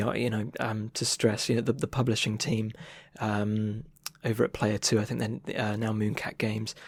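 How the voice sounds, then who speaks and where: A man speaks at a medium pitch and a moderate pace. The recording is very clean, with a silent background. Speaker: illustrator and game developer. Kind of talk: interview answer. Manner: casual, hesitant, many fillers.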